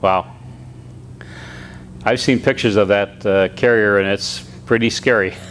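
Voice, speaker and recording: Over noticeable background noise, a man with a fairly low pitch and lively intonation talks at a moderate pace, leaving long, frequent pauses. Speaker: pilot association past president. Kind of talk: interviewer.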